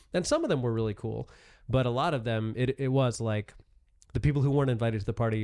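On a very clean recording with a silent background, a man uses an ordinary speaking voice at a medium pitch with ordinary pitch variation. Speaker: stand-up comedian. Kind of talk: casual chat.

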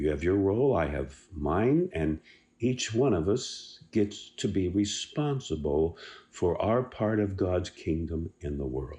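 A man talks at a fairly slow pace in a very deep, low pitch with very wide pitch swings, his voice somewhat breathy and warm. The tone is dark and mellow, and the background is quiet. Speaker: devotional speaker. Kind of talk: devotional pep talk. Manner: warm, encouraging, earnest; emphatic, repeats key words.

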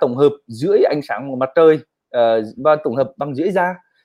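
Here a man speaks with a Northern Vietnamese accent. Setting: video call livestream.

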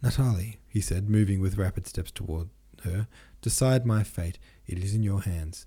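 The pitch moves in an ordinary way. It is an unforced reading voice.

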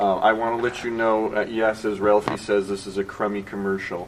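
Over noticeable background noise, a man with a fairly low pitch speaks very fast in a flat monotone. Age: 50s. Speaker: panel moderator and writer. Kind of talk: panel discussion. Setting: stage with audience.

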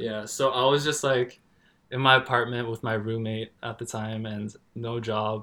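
Speaking in a Canadian accent, a man has a medium pitch and a bright, sharp tone. His intonation is monotone and flat, and his pace is moderate. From Canada. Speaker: tattoo artist. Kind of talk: casual chat. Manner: casual, relaxed.

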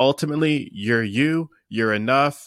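A man's ordinary speaking voice with an American accent, ordinary pitch variation and a moderate pace, in a very clean, dry, close recording with a silent background and no echo. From Pennsylvania, US. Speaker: mindset coach. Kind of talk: interview.

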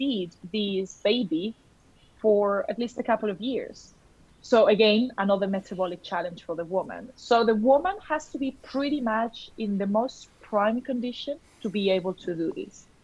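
This woman's voice is somewhat breathy and fairly high-pitched. She moves at a moderate pace with ordinary pitch variation. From Colombia. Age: 30s. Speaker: nutritional therapist. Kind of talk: interview.

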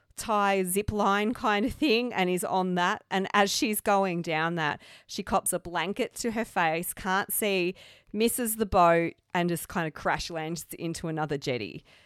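On a very clean recording with a silent background and a dry, close sound with no echo, a woman with an Australian accent speaks fairly slowly at a medium pitch with ordinary pitch variation. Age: 30s. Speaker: podcast host. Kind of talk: casual chat.

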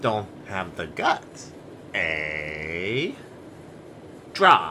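A man puts on a robotic character voice, pitched very deep and low, over clear background noise.

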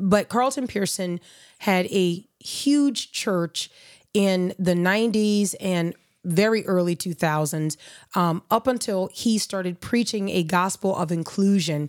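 With ordinary pitch variation and a medium pitch, a woman speaks in an ordinary speaking voice. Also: very clean recording, silent background. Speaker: podcast host.

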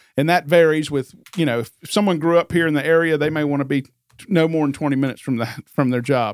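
A man with an American accent talks at a very fast pace in a fairly high pitch with ordinary pitch variation. The sound is dry and close with no echo. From Northern Virginia, US. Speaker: real estate agent. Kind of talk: casual interview.

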